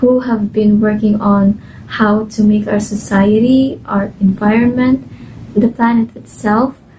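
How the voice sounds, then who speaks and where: A woman with a Filipino accent, fairly high pitch, very slow delivery and fairly even intonation, over noticeable background noise. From Philippines, Cebuano-speaking region. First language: Cebuano. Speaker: volunteer translator. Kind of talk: testimony. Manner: casual, filler-heavy.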